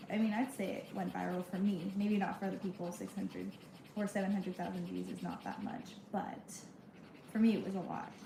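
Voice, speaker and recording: A soft-spoken woman talks at a fairly quick pace amid noticeable background noise. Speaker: content creator livestreaming. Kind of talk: casual livestream chat.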